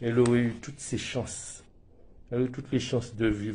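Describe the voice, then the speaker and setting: Flat and monotone in its intonation, the speaker's tone is dark and mellow. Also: man. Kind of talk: emotional personal testimony to camera.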